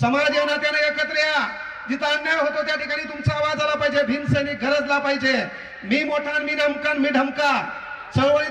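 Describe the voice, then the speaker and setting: Over noticeable background noise, a man speaks in a raised, projected voice at an extremely high pitch, his tone energetic. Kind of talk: public speech at a rally. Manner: humorous, energetic.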